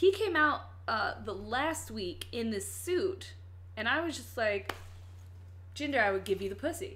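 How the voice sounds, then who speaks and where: Audible room echo surrounds a woman with an American accent. She talks fairly slowly, with long, frequent pauses. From Virginia. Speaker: podcast host. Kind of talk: casual chat.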